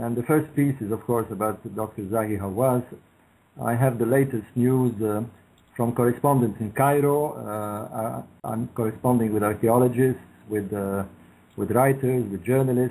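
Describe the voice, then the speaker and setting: A man's medium-pitched voice with a dark, mellow tone, fairly even intonation and a moderate pace. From Egypt. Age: 60s. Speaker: author. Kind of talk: radio interview. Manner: hesitant, many fillers.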